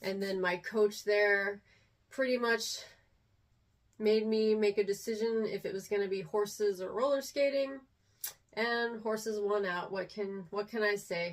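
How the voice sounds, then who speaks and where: Speaking at a fairly slow pace, a woman uses a medium pitch and fairly even intonation. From Texas. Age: 40s. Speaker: vlogger. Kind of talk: casual chat. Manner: hesitant, many fillers.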